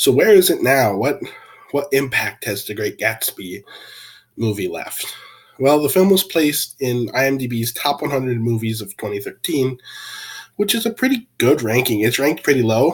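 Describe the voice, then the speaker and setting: This man's somewhat breathy voice sits at a medium pitch and makes very wide pitch swings at a moderate pace. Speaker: video essayist reviewing a film. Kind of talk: film review talk. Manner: casual, halting with fillers.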